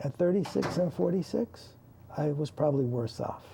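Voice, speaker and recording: With very wide pitch swings, a man talks at a fairly slow pace in a fairly high voice. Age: 60s. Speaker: talk show co-host. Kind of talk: inspirational talk show conversation.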